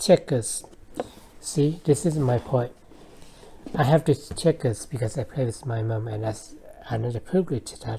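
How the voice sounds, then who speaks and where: A woman speaks at a very deep, low pitch with a dark, mellow tone and a somewhat breathy sound. She keeps a moderate pace and ordinary pitch variation, with long, frequent pauses. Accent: non-native. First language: not English. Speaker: vlogger. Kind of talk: personal monologue. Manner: halting.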